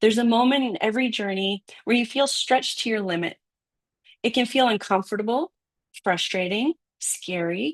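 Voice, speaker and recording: A woman speaks at a fairly high pitch with ordinary pitch variation and long, frequent pauses. The sound is dry and close, with no echo. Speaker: author. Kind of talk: reading aloud from own book with chat. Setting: live stream. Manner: fast.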